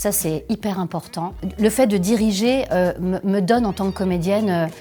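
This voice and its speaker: Over music in the background, a woman speaks at a moderate pace with a medium pitch and fairly even intonation. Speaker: voice actor, dubbing actress and voice director; voice and dubbing trainer. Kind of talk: interview answer about her career.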